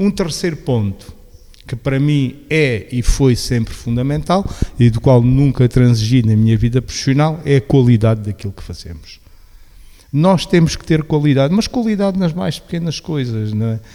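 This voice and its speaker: A man with an unremarkable speaking voice talks at a moderate pace in a medium pitch with lively intonation. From Portugal, Beja (Alentejo). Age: 60s. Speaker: local government veteran and social innovation agent. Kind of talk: radio interview.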